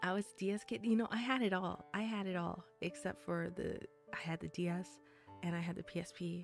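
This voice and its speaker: Music plays in the background as a woman speaks at a fairly quick pace. Her pitch is fairly low, with ordinary variation. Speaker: vtuber. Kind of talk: casual livestream chat. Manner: casual, chatty.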